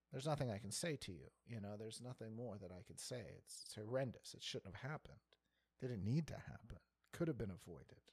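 Talking at a very fast pace, a man with a medium pitch sounds somewhat breathy, with lively intonation and big swings in loudness. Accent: American. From Pittsburgh suburbs, US. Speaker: stand-up comedian and theater manager. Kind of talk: casual chat.

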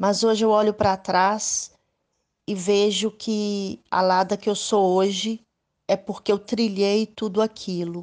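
A woman's medium-pitched voice, very slow and monotone, with flat intonation and very even loudness. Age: 50s. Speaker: women's rights activist, abuse survivor. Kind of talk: interview testimony.

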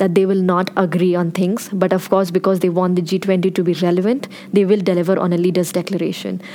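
There is noticeable background noise. Through it, a woman can be heard speaking. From India. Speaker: policy researcher. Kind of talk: panel discussion.

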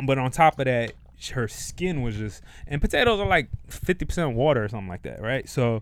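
A man speaks at a fairly quick pace in a fairly high pitch. It is an ordinary speaking voice. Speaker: comedian podcaster. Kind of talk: casual chat. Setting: studio.

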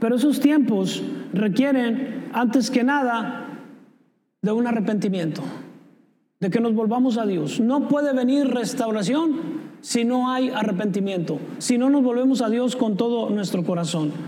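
Over audible room echo, the speaker talks at a fairly slow pace with ordinary pitch variation. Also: man, extremely high pitch for a man. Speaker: pastor. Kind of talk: sermon.

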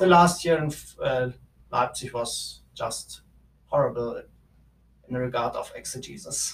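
Speaking with a German accent, a man goes at a fairly slow pace with long, frequent pauses. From Germany. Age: 20s. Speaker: theology student. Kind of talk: interview. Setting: office. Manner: halting.

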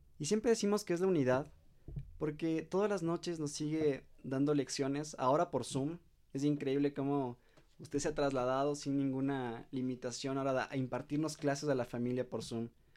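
Delivered at a moderate pace with ordinary pitch variation, this is a plain, everyday voice against a quiet background. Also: man, fairly high pitch for a man. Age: young. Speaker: family podcast host. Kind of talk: interview.

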